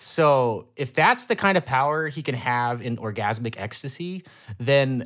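On a very clean recording with a silent background, a man with an American accent speaks with very wide pitch swings. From Ohio. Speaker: podcast co-host. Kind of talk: casual chat.

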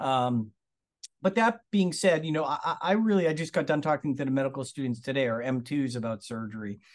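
Speaking in an American accent, a man uses an ordinary speaking voice at a fairly high pitch. He talks fairly quickly, with lively intonation. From Massachusetts, Lawrence/Methuen area. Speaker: surgeon. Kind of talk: interview.

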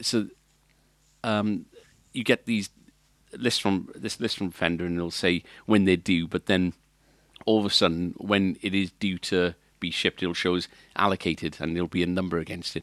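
In a Welsh accent, a man with a very deep, low voice talks in fairly even intonation, leaving long, frequent pauses, and the sound is dry and close with no echo. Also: very clean recording, silent background. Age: 40s. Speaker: music shop owner and podcast co-host. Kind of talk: casual chat.

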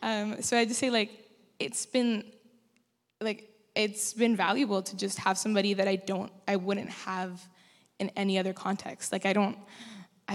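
A woman talks at a moderate pace with long, frequent pauses. Her pitch is medium and her intonation fairly even. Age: young. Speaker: mentee in church program. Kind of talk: testimony. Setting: church. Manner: casual, hesitant.

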